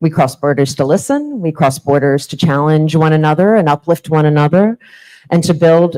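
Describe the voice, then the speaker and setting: A woman speaks at a moderate pace in a very deep, low voice with a dark, mellow tone. Her pitch varies in an ordinary way, and the sound is dry and close with no echo. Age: 40s. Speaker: conference keynote speaker. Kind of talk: conference keynote speech.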